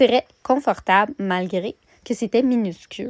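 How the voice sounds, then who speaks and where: A woman with a Quebec accent and ordinary pitch variation, in a dry, close sound with no echo on a very clean recording with a silent background. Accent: Québécois French. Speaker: vlogger. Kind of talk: vlog narration. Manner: hesitant with fillers.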